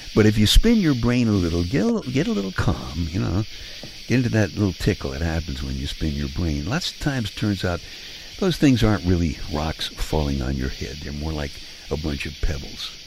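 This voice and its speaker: With an American accent, a man speaks fairly quickly in a very deep, low pitch, his voice swinging very widely in pitch amid noticeable background noise. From Brooklyn, New York. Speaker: radio host. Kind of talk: bedtime monologue. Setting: home living room.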